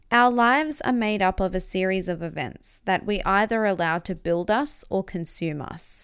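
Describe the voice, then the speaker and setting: With an Australian accent, a woman speaks at a moderate pace and medium pitch with lively intonation. The recording is very clean, with a silent background. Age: 20s. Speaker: podcast host and author. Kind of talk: reading aloud from own memoir.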